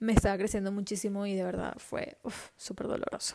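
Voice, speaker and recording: With a dark, mellow tone, a woman talks fairly quickly at a medium pitch. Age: 20s. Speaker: podcast host. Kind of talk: casual monologue. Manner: animated.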